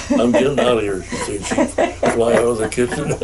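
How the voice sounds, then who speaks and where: Against noticeable background noise, a man in an Upper Midwest accent speaks at a fairly quick pace. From Upper Peninsula of Michigan; Michigan. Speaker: war veteran and resort owner. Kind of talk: oral history interview answer.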